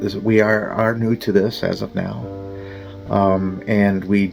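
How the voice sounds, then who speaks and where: Music plays behind a man whose fairly low voice moves very slowly with fairly even intonation. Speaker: YouTube channel host. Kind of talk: casual talk to camera.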